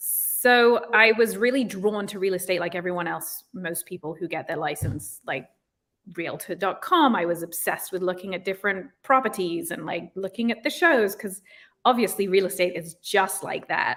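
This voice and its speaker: A woman speaks in a British accent at a medium pitch. Her pace is moderate and her pitch varies in an ordinary way. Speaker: real estate agent. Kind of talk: interview. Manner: casual, many fillers.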